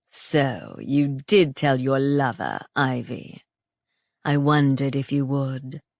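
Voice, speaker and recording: A put-on character voice at low-to-middle pitch goes at a fairly slow pace in a very clean recording with a silent background. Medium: read story. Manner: calm, smug, taunting.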